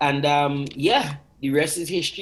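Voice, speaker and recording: Music plays behind a man with a Trinidadian accent. His fairly high voice keeps a moderate pace and fairly even intonation. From Trinidad and Tobago. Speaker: singer. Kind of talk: TV interview. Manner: hesitant, many filler words.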